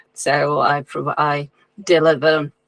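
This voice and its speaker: A woman with a non-native accent speaks at a very deep, low pitch in a flat monotone. The sound is dry and close, with no echo. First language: not English. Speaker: occult writer and musician. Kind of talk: interview. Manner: halting.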